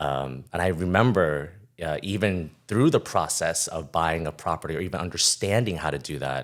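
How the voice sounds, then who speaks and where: This man's voice is very deep and low, with vocal fry, at a moderate pace. The recording is very clean, with a silent background. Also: ordinary pitch variation. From New York (Queens), Taiwanese immigrant family. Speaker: title insurance professional. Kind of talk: podcast interview. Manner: casual, with many fillers.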